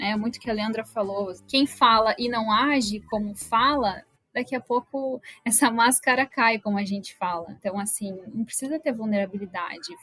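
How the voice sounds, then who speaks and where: Music plays in the background as a woman speaks at a fairly high pitch. Her pace is moderate, with ordinary pitch variation. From Rio Grande do Sul, Brazil. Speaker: HR business partner. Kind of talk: interview.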